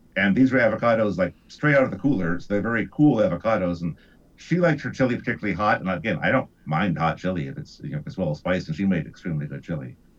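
Very fast and fairly low, a man with an American accent swings his pitch very widely. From US Midwest. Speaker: guest, radio producer and actor. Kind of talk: casual podcast discussion.

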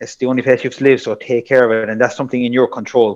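A man speaks with a Kerry accent. The background is quiet. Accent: Irish, Kerry. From South Kerry, Ireland. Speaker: personal trainer and strength coach. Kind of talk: casual interview chat.

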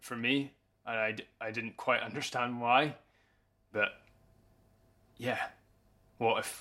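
This man has a medium pitch and a bright, sharp tone. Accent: Scottish Highland. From Scottish Highlands, Easter Ross. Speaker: farmer and podcast narrator. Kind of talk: scripted narration.

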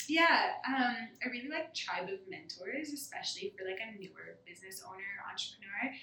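A woman with a fairly high pitch talks at a moderate pace with hardly any pauses. Her pitch swings very widely and her loudness shifts a lot, with audible room echo around her. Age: young. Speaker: fitness studio owner. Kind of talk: interview.

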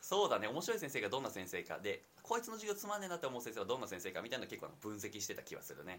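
A very fast male voice, fairly high in pitch, with very wide pitch swings and hardly any pauses. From Nagoya, Japan. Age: 20s. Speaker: university student and startup co-founder. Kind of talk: casual chat. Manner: hesitant, many fillers.

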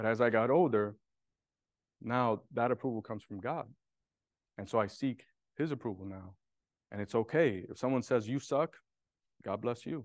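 Against a quiet background, a man with a New York accent speaks at a medium pitch and a moderate pace, with ordinary pitch variation and long, frequent pauses. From Brooklyn, New York. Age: 40s. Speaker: real estate developer. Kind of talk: testimony. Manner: halting.

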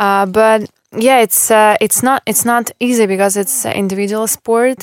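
In a very clean recording with a silent background and a dry, close sound with no echo, a woman with a Russian accent speaks at a fairly slow pace. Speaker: former professional tennis player. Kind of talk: interview. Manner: halting.

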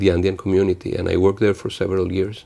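The voice carries a Spanish accent. Its tone is dark and mellow. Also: man. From Venezuela, small province. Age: 50s. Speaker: international trade official. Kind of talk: interview. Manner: halting, many fillers and repeats.

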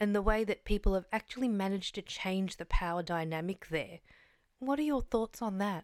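Speaking with an Australian accent at a medium pitch, a woman sounds dry and close with no echo on a very clean recording with a silent background. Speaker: podcast host. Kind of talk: interview.

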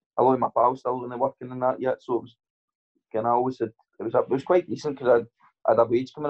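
The speaker talks at a very fast pace with a Scottish accent. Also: man. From Scotland. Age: 20s. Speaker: professional boxer. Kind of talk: casual interview chat.

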